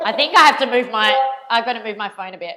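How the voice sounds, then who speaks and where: A woman speaks in a raised, projected voice with lively intonation. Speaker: dance teacher. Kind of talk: live dance class instruction. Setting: live stream from home garage. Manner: loud; casual, chatty.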